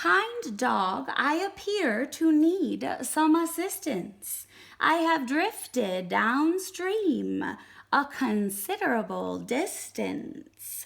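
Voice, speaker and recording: A woman uses a put-on character voice pitched high. She speaks at a very slow pace. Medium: read story. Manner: polite, formal.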